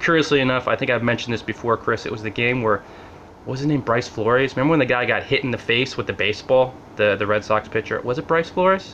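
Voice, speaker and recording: With a New Jersey accent, a man talks at a very fast pace with ordinary pitch variation. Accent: mild New Jersey. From Central New Jersey, US. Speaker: blogger. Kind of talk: casual vlog monologue. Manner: casual, conversational.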